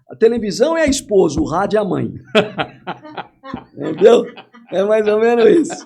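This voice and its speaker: The delivery moves at a moderate pace with lively intonation. Long pauses come often. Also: man, high pitch for a man. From interior of São Paulo state, Brazil. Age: 60s. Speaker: sports commentator and narrator.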